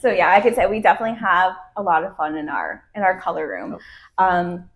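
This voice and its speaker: A woman with an American accent speaks at a fairly quick pace. The recording is very clean, with a silent background. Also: medium pitch for a woman, ordinary pitch variation. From New Jersey. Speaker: salon owner and hairdresser, podcast co-host. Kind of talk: casual chat.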